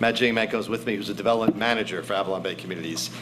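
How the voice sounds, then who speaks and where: Amid noticeable background noise and audible room echo, a man speaks at a very fast pace in a medium pitch. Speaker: real estate developer executive. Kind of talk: formal presentation. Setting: council meeting room with audience.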